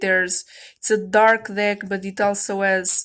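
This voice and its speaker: In a very clean recording with a silent background, a woman speaks very slowly at medium pitch, flat and monotone, with a bright, sharp tone. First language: non-native English speaker. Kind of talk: casual talk to camera, tarot deck review. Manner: hesitant, casual.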